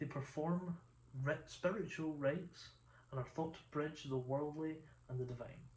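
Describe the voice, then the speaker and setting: A man with a Scottish accent, fairly high-pitched and somewhat breathy, at a moderate pace with fairly even intonation. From Scotland. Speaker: video essayist. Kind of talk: reading a script with asides. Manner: halting, stumbles over pronunciation.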